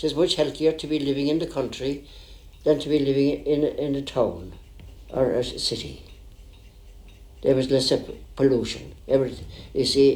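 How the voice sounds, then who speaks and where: Speaking in a Cork accent at a fairly high pitch, a man keeps a moderate pace and fairly even intonation, with long, frequent pauses. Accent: Cork Irish. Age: 90s. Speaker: country doctor. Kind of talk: interview.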